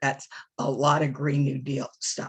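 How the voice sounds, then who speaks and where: This woman's voice sits very deep and low, with a somewhat breathy quality. Her tone is animated. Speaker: advocacy trainer and policy strategist. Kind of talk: training session.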